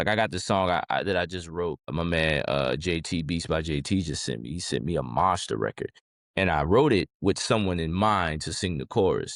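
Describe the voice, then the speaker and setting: Over a silent background in a very clean recording, the speaker uses vocal fry and an American accent at a moderate pace. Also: man. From New Orleans, Louisiana (uptown). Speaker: rapper. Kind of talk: interview. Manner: casual, halting.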